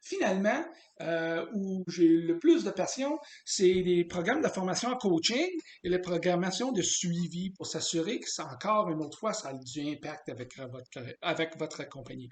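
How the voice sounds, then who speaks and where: A man with an English accent, high-pitched, with lively intonation and a fairly slow pace. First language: English (speaking French). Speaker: business consultant. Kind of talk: sales pitch. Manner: halting, many hesitations.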